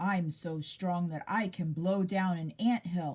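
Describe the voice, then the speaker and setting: A woman speaks at a fairly slow pace in a put-on character voice, rumbling, with a medium pitch. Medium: read story. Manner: grumbling.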